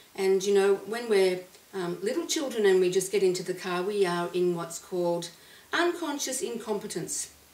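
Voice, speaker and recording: There is noticeable background noise as a woman talks at a medium pitch and a moderate pace. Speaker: clinical psychologist and hypnotherapist. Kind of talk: casual talk to camera.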